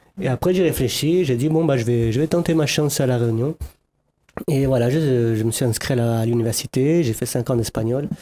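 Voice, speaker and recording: Keeping a very even loudness, a man speaks at a fairly quick pace with a medium pitch, ordinary pitch variation and a dark, mellow tone. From France, Lyon. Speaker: musician. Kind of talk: TV talk show interview.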